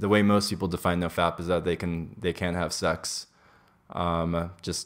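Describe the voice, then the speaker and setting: Very deep and low, a man's voice carries an American accent. He speaks at a fairly slow pace against a quiet background. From US, Los Angeles. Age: 20s. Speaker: podcast guest. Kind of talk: casual chat. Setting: kitchen. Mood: candid, relaxed. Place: home room.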